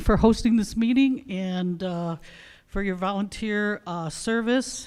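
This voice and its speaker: This very clean recording has a silent background. The voice carries an American accent and moves at a fairly slow pace. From Detroit, Michigan. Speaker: public commenter. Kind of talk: public comment. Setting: public meeting.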